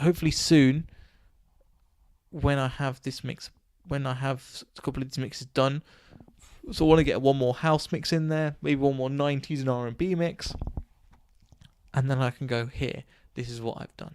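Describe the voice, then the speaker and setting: A man's mumbling at a moderate pace, fairly high for a man, with fairly even intonation and long, frequent pauses. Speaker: podcaster and DJ. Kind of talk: solo podcast monologue. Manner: halting, stuttering; rambling, mumbling.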